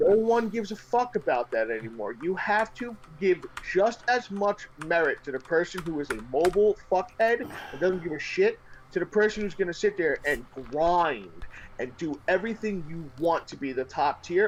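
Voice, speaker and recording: Swinging very widely in pitch, a man with a New York accent speaks high for a man at a moderate pace. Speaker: gaming streamer. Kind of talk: casual chat. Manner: loud, intense; animated.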